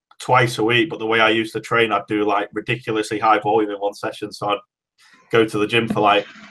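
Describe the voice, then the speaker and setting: Monotone and flat, a man with a fairly low pitch speaks at a very fast pace. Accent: English. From Great Britain. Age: 20s. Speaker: powerlifter. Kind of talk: podcast interview.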